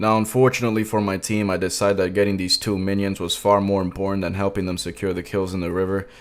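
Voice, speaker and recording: In a Spanish accent, a man with a fairly low pitch rattles along at a very fast pace in a flat monotone, with hardly any pauses. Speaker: gaming YouTuber. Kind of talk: gameplay commentary. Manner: casual, comedic storytelling.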